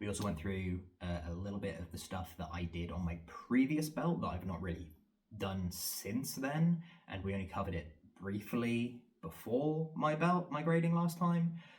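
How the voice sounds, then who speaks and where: Here a man's fairly low voice sounds somewhat breathy. His pitch swings very widely. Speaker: vlogger and fitness trainer. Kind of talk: casual vlog monologue. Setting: home training room, self-filmed. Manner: fast; rambling with fillers.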